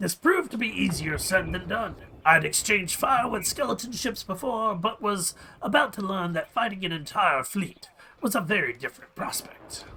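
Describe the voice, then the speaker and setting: A man adopts a put-on character voice pitched high. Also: moderate pace. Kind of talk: adventure story reading. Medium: game stream.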